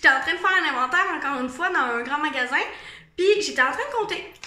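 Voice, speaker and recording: A woman with a Quebec accent uses a raised, projected voice at an extremely high pitch, bright and sharp in tone, with very wide pitch swings and audible room echo. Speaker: vlogger. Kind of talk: casual monologue vlog. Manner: casual, hesitant with fillers.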